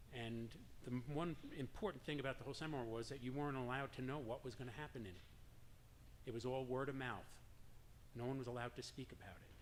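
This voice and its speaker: Talking at a very fast pace with a slight New York accent, a man speaks at medium pitch with fairly even intonation and audible room echo. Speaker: drum circle leader. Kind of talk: personal story told to an audience.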